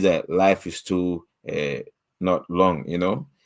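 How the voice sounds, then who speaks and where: A man speaks with a very deep, low pitch. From Ghana. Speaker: author. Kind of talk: podcast interview.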